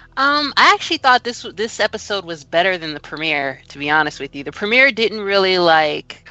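Delivered at a fairly quick pace with hardly any pauses, the speech shows very wide pitch swings and big swings in loudness. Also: woman, medium pitch for a woman. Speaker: podcast co-host. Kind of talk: casual chat.

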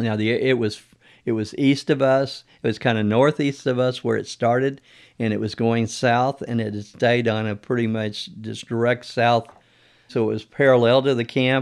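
At a moderate pace, a man speaks with a medium pitch in a flat, monotone way. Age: 70s. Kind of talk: testimony.

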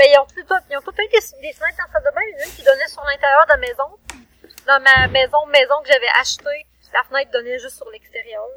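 The voice is raised and projected, with lively intonation and big swings in loudness. It keeps a moderate pace, and the sound is dry and close with no echo. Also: woman, high pitch for a woman. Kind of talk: casual chat.

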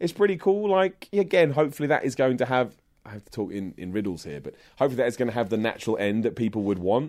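A man with a British accent talks at a very fast pace, his pitch swinging very widely. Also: medium pitch for a man. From England, Luton near London. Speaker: wrestling commentator and online presenter. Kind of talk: interview conversation. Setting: in person, London.

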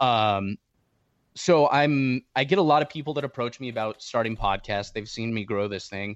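A man with a normal speaking voice and an American accent, at a moderate pace and medium pitch with ordinary pitch variation, in a dry, close sound with no echo and a quiet background. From Southern California. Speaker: hunting podcaster. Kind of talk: casual interview conversation.

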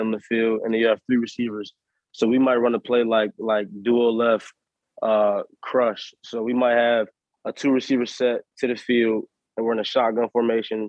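Here a man with an American accent talks at a medium pitch. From Harrisburg, Pennsylvania. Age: 20s. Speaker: professional football player. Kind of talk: casual interview chat.

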